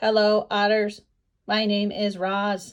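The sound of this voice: A put-on robotic character voice, flat and monotone, at a fairly slow pace. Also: woman.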